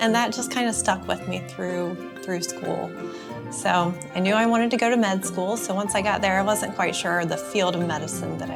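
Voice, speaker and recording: Music plays in the background. A woman with a Carolinas accent speaks at a moderate pace. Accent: Southern US (Carolinas). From North Carolina, USA. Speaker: obstetrician-gynecologist. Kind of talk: casual talk to camera.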